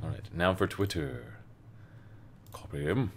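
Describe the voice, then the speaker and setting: Vocal fry runs through this man's speech, and his intonation is lively. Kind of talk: casual livestream chat.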